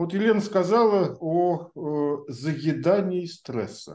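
Against a quiet background, a man's voice carries a dark, mellow tone. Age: 50s. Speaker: podcast host; host of the discussion. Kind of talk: panel discussion. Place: home room. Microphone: video call.

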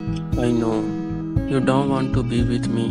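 Against music in the background, a man speaks in a sad tone at a fairly slow pace. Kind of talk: spoken word poetry. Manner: sad, emotional.

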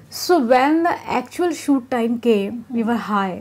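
A woman with an Indian accent, fairly high in pitch, at a moderate pace. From Etawah, Uttar Pradesh, India. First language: Hindi. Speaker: Bollywood actress. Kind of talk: casual interview. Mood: relaxed, laughing, candid. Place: home room. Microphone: lapel.

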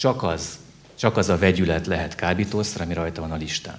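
A man speaking with ordinary pitch variation. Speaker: criminal court judge. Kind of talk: panel discussion, Q&A. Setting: live event with audience. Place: hall. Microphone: handheld.

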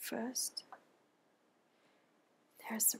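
The speaker is soft-spoken, with a gentle tone and a very slow pace. Light background noise is present. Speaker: ASMR creator. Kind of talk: ASMR soft-spoken show-and-tell. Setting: studio, close mic. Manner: slow, gentle, with pauses. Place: home room.

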